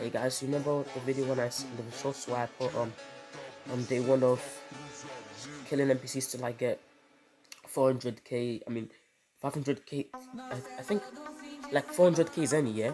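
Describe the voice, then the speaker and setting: Over music in the background, a man with a medium pitch talks at a moderate pace with fairly even intonation and long, frequent pauses. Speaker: gaming video creator. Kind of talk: casual gameplay commentary.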